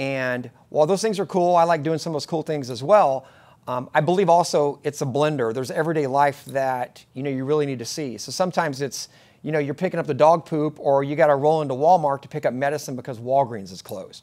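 Very fast and with big swings in loudness, a man talks with ordinary pitch variation. The background is quiet. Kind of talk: casual vlog chat. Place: office.

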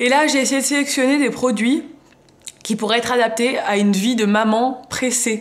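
Her pace is fairly quick. This woman's pitch varies in an ordinary way. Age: 20s. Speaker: beauty and fashion youtuber; fashion youtuber. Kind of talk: haul video, casual talk to camera. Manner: casual, chatty with many fillers. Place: home room. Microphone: phone near.

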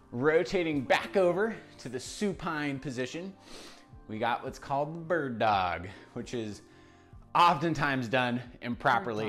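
A man at a fairly slow pace, with long, frequent pauses, big swings in loudness, and faint music in the background. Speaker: fitness trainer. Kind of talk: workout tutorial instruction. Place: gym.

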